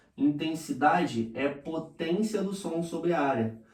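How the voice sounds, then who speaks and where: A man talks with audible echo from the room around him. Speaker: physics teacher. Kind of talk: lecture. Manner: animated.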